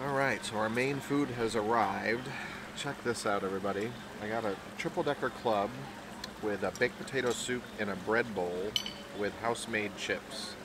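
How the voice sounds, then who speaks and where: A man at a moderate pace, with ordinary pitch variation and long, frequent pauses, in a dry recording with no echo and noticeable background noise. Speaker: food vlogger. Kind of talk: casual vlog chat. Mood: cheerful, relaxed. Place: cafe.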